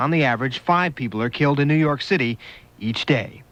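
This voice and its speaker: A man with a plain, everyday voice speaks at a fairly quick pace, his fairly high pitch carried by lively intonation. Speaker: radio news reporter. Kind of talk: radio news report. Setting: vintage AM radio aircheck.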